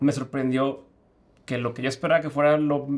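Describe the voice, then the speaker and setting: With fairly even intonation, the speaker keeps to a moderate pace. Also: man. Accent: Mexican. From Mexico. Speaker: podcaster trying a tech gadget. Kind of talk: casual chat. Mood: amazed, relaxed. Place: studio.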